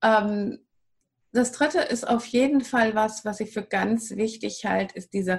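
At a very slow pace, a woman talks in a somewhat breathy voice with a fairly high pitch. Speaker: wild plant and raw food advisor. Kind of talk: interview. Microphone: poor audio quality.

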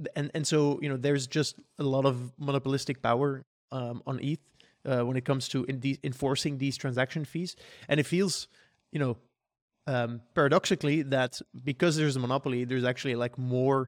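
In a dry, close recording with no echo, a man with an unremarkable speaking voice talks at a fairly quick pace, his pitch medium and his intonation fairly even. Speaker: podcast host. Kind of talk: casual panel discussion podcast. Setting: remote recording over call.

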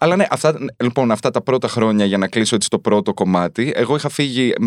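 An unremarkable speaking voice with lively intonation comes through a very clean recording with a silent background and a dry, close sound with no echo. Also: man. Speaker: journalist and author. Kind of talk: casual chat. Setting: studio.

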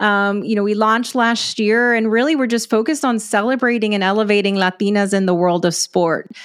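A woman with an American accent speaks in an ordinary speaking voice at a fairly quick pace, with very even loudness and ordinary pitch variation. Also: fairly high pitch for a woman. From West Texas, US. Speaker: sports media company founder. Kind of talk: interview conversation.

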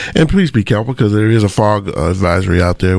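Noticeable background noise accompanies a man speaking at a fairly quick pace with a fairly low pitch. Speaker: radio co-host. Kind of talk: radio talk show. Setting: radio studio.

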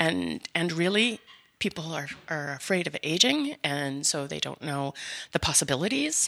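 In a Canadian accent, a woman with a very deep, low pitch and vocal fry speaks at a moderate pace with lively intonation. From Canada, mostly Winnipeg. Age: 50s. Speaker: seniors advocate, business owner. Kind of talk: interview.

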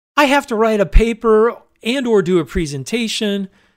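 This is a very clean recording with a silent background. A man speaks with lively intonation. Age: 50s. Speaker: podcaster and doctoral student. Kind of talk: solo podcast monologue. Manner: casual, with fillers.

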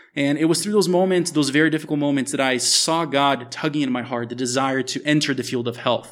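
Amid noticeable background noise, a man with a fairly high pitch talks at a very fast pace with ordinary pitch variation. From US, Miami (moved from Brazil at eight). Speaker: author and global health expert. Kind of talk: interview testimony. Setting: at a table in a house in Brazil.

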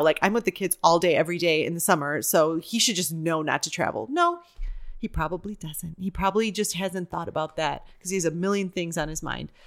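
At a fairly quick pace, a woman speaks in an ordinary speaking voice at medium pitch, on a very clean recording with a silent background. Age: 40s. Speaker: actor and improviser. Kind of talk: casual chat.

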